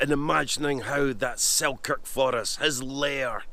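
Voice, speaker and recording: A man in a Scottish accent at a fairly slow pace, with noticeable background noise. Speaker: history presenter. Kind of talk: documentary talk to camera on location. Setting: outdoors.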